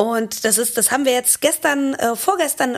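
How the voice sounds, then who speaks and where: A woman speaks in a high voice. Her tone is animated. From Germany, Cologne. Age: 30s. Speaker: drummer, singer and multi-instrumentalist. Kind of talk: casual interview chat. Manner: lively, animated.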